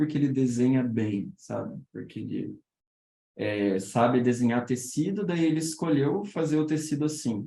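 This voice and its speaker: At a moderate pace, this dark, mellow tone moves with ordinary pitch variation. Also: man. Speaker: illustrator teaching a workshop. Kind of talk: online workshop talk. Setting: Discord voice call. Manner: halting, many repetitions.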